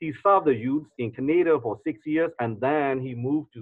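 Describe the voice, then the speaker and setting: Against a quiet background, a man with a Burmese accent talks at a medium pitch and a moderate pace. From Myanmar. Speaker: pastor and interpreter. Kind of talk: sermon interpretation. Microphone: video call.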